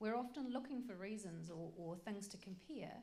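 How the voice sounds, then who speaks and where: A woman's medium-pitched voice with ordinary pitch variation and audible room echo. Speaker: workshop presenter. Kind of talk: lecture. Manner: fast; animated.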